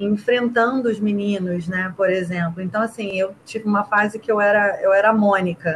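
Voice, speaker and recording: A woman talks in a plain, everyday voice at a moderate pace. Her intonation is fairly even, with hardly any pauses. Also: medium pitch for a woman. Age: 30s. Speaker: rugby player and teacher. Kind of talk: casual interview.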